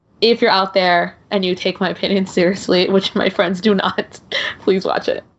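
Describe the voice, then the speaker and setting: A woman speaks at a moderate pace. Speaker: podcaster and film commentator. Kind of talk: casual chat.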